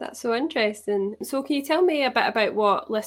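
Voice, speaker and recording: A woman speaks at a moderate pace in an unremarkable speaking voice with ordinary pitch variation. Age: 20s. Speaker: podcast host. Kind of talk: interview; scripted narration.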